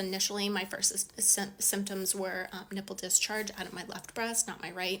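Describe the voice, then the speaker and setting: A woman talks at a moderate pace and medium pitch. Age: 30s. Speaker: patient sharing illness story. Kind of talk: casual personal vlog. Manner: halting, many fillers.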